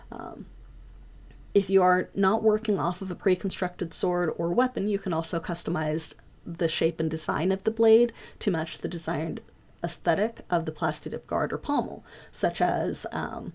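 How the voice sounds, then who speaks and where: With ordinary pitch variation and a moderate pace, this is a plain, everyday voice. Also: woman, fairly low pitch for a woman. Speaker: foam craft class teacher. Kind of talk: online class lecture. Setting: voice chat server.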